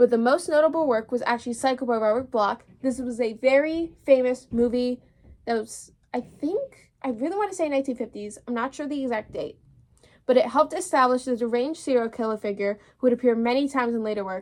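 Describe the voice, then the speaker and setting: High-pitched and at a fairly quick pace, a woman talks with ordinary pitch variation. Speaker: podcast host. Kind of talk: solo podcast talk. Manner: fast; casual, chatty.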